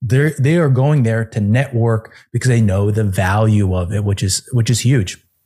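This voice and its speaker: A man's dark, mellow, somewhat breathy voice with an American accent, medium pitch, ordinary pitch variation, very even loudness and hardly any pauses, on a very clean recording with a silent background. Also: moderate pace. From Phoenix area, US. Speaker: podcast host and fitness business owner. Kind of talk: casual interview chat. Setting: video recording.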